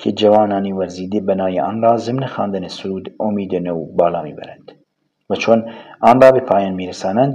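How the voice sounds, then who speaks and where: Fairly quickly, a man gets his words out. His pitch shifts in an ordinary way. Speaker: audiobook narrator. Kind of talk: audiobook reading of a novel.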